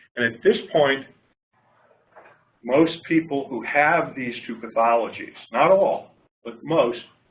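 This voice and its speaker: A man at medium pitch, fairly slow, with ordinary pitch variation and audible room echo. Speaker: clinician researcher. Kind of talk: lecture. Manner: loud. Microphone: far from the mic.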